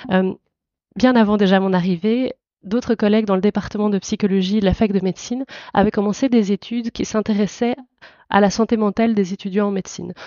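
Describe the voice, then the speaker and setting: A woman speaks at a fairly quick pace with a slight Belgian accent. Her intonation stays fairly even. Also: medium pitch for a woman. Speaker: psychologist and university lecturer. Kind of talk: podcast interview. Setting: audio podcast.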